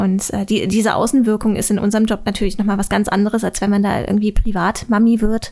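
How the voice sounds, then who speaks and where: A woman speaks very fast in a dark, mellow, somewhat breathy tone, her medium pitch monotone and flat. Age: 20s. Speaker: YouTuber. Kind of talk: casual chat.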